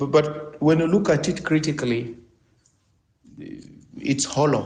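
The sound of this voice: With audible room echo, a man speaks at a fairly high pitch, his tone slightly mellow and his pitch variation ordinary. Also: fairly slow pace.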